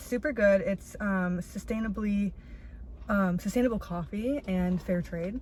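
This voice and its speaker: A woman with a medium pitch and a somewhat breathy voice speaks at a fairly slow pace with ordinary pitch variation. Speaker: vlogger. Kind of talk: casual vlog monologue. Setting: outdoors in a parking lot. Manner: animated.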